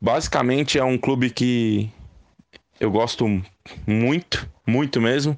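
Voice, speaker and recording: Against a quiet background, a man talks at a fairly slow pace with ordinary pitch variation and a dry, close sound with no echo. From Brazil, São Paulo city. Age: 30s. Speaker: football fan. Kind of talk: recorded testimony.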